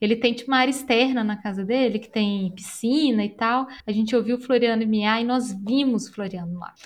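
Speaking at a moderate pace in an ordinary speaking voice, a woman with fairly high pitch keeps her intonation fairly even while her loudness shifts in big swings. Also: hardly any pauses. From Brazil, Belo Horizonte (Minas Gerais). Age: 30s. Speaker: pet care professional. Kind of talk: casual interview chat.

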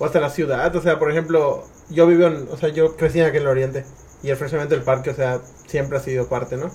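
Words rush by at a very fast speed. The intonation stays flat and monotone. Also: man, fairly high pitch for a man. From Mérida, Yucatán, Mexico. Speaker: podcast host. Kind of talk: casual chat.

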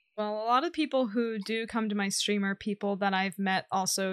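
A woman has a normal speaking voice at a moderate pace. The sound is dry and close, with no echo. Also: very clean recording, silent background. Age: 20s. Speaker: Twitch streamer. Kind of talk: casual interview.

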